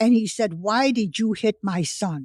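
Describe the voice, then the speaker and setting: Somewhat breathy, a woman with an American accent speaks at medium pitch with ordinary pitch variation, in a dry, close sound with no echo. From United States. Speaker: World War II survivor and author. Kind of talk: interview answer.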